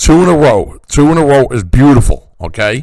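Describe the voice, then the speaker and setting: Here is a man with an animated tone. His intonation is lively. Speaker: stock market educator. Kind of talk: market analysis tutorial.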